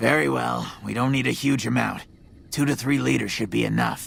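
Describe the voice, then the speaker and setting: In a put-on character voice, a man talks at a moderate pace with a raspy sound. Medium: video game. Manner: self-important, sardonic.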